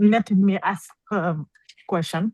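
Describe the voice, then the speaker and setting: A woman with a medium pitch and a dark, mellow tone speaks at a very slow pace, somewhat breathy, with ordinary pitch variation. The sound is dry and close, with no echo. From Senegal. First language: French and Wolof. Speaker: course student. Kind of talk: audience question. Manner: halting.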